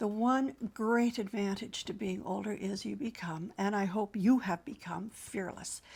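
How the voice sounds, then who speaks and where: Somewhat breathy and medium in pitch, a woman speaks at a fairly slow pace. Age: 70s. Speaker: midlife lifestyle vlogger and author. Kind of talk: casual monologue. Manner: rambling, hesitant with fillers.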